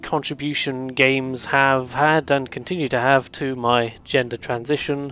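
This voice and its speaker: Music runs in the background. Over it, the speech moves fairly slowly. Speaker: video series host talking about games. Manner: hesitant, rambling with many fillers.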